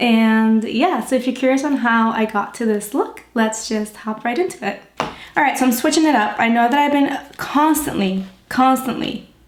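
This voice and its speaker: Noticeable background noise sits behind a woman speaking in a high voice. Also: ordinary pitch variation, moderate pace. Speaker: beauty vlogger. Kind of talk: makeup tutorial. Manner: casual, chatty.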